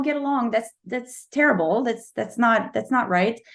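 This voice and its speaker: Talking at a fairly quick pace, a woman with a fairly high pitch speaks in a Quebec French accent. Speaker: novelist. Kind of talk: interview. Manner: halting.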